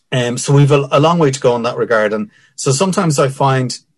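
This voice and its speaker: A somewhat breathy man talks with a Dublin accent. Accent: Dublin Irish. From Ireland, Dublin (Finglas). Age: 50s. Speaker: ex army captain, security analyst and lecturer. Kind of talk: interview. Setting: remote call over wifi.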